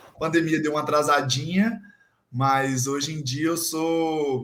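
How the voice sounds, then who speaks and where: At a fairly slow pace, a man in a plain, everyday voice speaks with a fairly high pitch and ordinary pitch variation. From Brazil, Minas Gerais (Guidoval). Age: 20s. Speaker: physical education student and gym intern. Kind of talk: casual chat.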